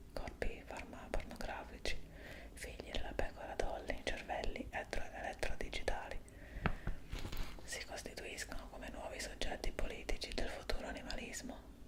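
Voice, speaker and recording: With long, frequent pauses, a whispering voice moves at a moderate pace against noticeable background noise. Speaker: ASMR channel host reading aloud. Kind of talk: ASMR reading of an article, whispered-style read-aloud.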